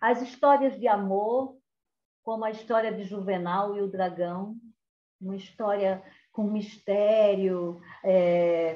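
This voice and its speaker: A woman at a medium pitch with fairly even intonation, at a very slow pace with long, frequent pauses. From Brazil, Caruaru, Pernambuco (Northeast). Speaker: cordel poet and storyteller. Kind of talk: cultural talk with storytelling.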